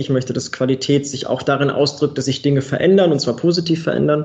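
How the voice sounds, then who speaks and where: This man has an ordinary speaking voice with a fairly high pitch and ordinary pitch variation. He talks at a fairly quick pace. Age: 30s. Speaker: quality management consultant and trainer. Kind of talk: podcast interview.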